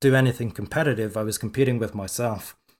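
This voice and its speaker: A man speaks in a Scottish accent with fairly even intonation. The recording is very clean, with a silent background. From Scotland. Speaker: entrepreneur and former rugby player. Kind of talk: interview.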